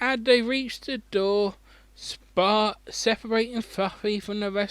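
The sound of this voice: A reading voice without force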